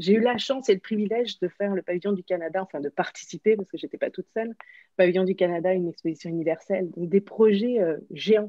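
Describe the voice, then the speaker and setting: In a dry, close sound with no echo, a woman with a dark, mellow tone talks at a fairly quick pace. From France. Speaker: workshop facilitator, former athlete. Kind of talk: interview. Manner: hesitant, many fillers.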